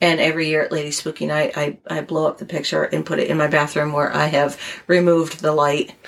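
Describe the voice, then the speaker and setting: Very fast speech in an American accent with monotone, flat intonation over noticeable background noise. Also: woman, very deep, low pitch for a woman. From Connecticut, US. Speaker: guest. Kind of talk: casual chat, storytelling.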